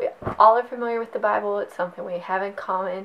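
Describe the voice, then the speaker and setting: Noticeable background noise sits behind a woman's voice. Her medium pitch holds a fairly even intonation. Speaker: Spanish language teacher. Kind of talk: tutorial. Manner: casual, encouraging.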